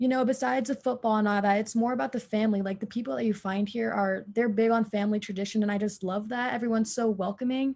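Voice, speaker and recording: Barely pausing, a woman with an American accent talks at a very fast pace in a somewhat breathy, fairly high voice with ordinary pitch variation. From Georgia, US (Forsyth County). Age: young. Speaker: university student. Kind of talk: casual introduction on video call.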